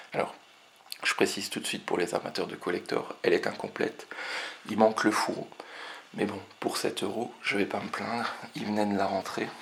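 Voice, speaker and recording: Speaking quietly amid noticeable background noise, a man leaves long, frequent pauses. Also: moderate pace. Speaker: retro game collector. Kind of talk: casual talk to camera. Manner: quiet, low voice.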